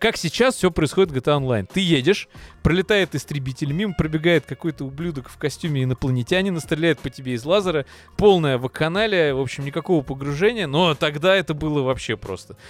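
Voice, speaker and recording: Dry and close with no echo, a man's fairly high voice races at a very fast pace, with lively intonation and big swings in loudness. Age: 30s. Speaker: gaming podcast host. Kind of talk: casual chat.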